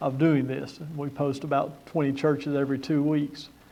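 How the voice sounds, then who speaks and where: The tone is dark and mellow. Room echo is audible. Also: man. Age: 60s. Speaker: conference speaker on church leadership. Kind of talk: conference talk.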